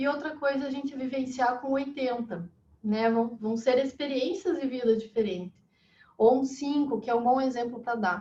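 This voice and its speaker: Mellow and dark, this tone carries the speech. Its pace is moderate, and the pitch varies in an ordinary way. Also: woman. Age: 30s. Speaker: holistic therapist. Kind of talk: interview.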